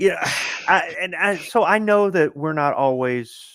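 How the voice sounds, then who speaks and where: A man speaks loudly with a bright, sharp tone. His intonation is lively. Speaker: gun enthusiast. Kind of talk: casual chat.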